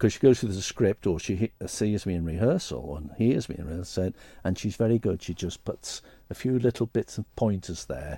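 A man with a very deep, low pitch and a dark, mellow tone speaks at a fairly quick pace, somewhat breathy, in a dry, close sound with no echo and a very clean recording over a silent background. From Stoke-on-Trent, England. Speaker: retired stage actor and singer. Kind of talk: casual interview chat. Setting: studio.

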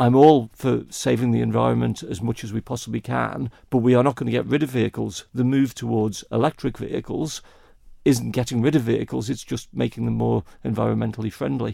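A man speaks at a fairly quick pace with a Manx accent. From Isle of Man. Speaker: election candidate. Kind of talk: interview.

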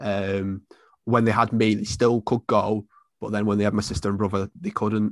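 Fairly low in pitch, a man with a Mancunian accent speaks at a moderate pace in a monotone, flat intonation. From Salford, Manchester, England. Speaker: football fan and content creator. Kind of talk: casual interview.

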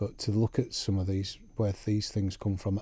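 Somewhat breathy, dark and mellow male voice with a Yorkshire accent. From West Yorkshire, England. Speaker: clergyman. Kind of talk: interview conversation. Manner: hesitant, many ums.

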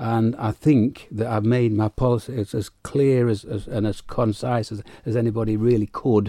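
With a dark, mellow tone at medium pitch, a man talks at a moderate pace in fairly even intonation, with hardly any pauses, against a quiet background. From United Kingdom. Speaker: politician. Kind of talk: political interview. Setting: radio studio.

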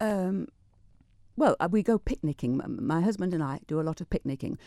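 A woman's dark, mellow voice at a fairly quick pace, with very wide pitch swings, in a very clean, dry, close recording with a silent background and no echo. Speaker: retired teacher. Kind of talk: radio interview. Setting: studio. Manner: fast.

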